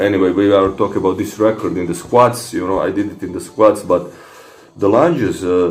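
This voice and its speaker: A man with a Croatian accent talks at a fairly quick pace in a fairly low voice with ordinary pitch variation, and room echo can be heard. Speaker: fitness vlogger. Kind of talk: casual monologue replying to comments. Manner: halting, many fillers and repetitions.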